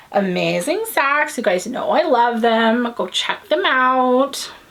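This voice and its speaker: In an American accent, the voice makes very wide pitch swings over noticeable background noise. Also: woman. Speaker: knitting podcast host. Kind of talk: casual chat. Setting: home, filming on a tripod.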